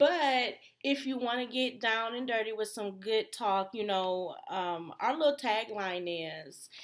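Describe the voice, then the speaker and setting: On a very clean recording with a silent background, a woman with an American accent and an unremarkable speaking voice talks at a fairly slow pace, pitched fairly high, with lively intonation and hardly any pauses. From Detroit, Michigan. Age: 30s. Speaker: podcast co-host. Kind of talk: casual chat.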